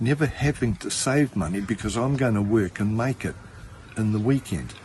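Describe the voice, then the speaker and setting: A man's somewhat breathy, medium-pitched voice moves at a moderate pace with ordinary pitch variation. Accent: Australian. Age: 60s. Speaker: spiritual healer. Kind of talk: casual talk to camera. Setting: outdoors. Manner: casual.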